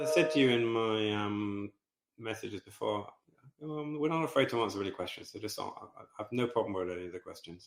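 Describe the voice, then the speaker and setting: A man with an English accent, medium pitch, a very fast pace, lively intonation and big swings in loudness. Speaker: football club co-owner. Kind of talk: podcast interview. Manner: halting.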